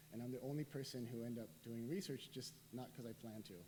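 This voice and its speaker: At a very fast pace, a man speaks with a medium pitch and ordinary pitch variation. Audible room echo surrounds his voice. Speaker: professor and researcher. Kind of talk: lecture.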